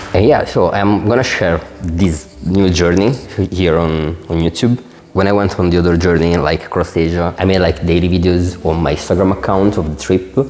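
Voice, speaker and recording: In an Italian accent, a man talks very deep and low at a fairly quick pace, with fairly even intonation and very even loudness over noticeable background noise. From Italy. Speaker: designer and entrepreneur vlogger. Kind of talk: unscripted vlog to camera. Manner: casual, many filler words.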